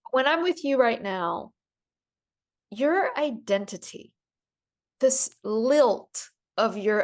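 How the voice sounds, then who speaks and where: In a slight Southern US accent, a woman speaks at a very slow pace. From US South. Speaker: podcast host. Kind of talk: casual chat.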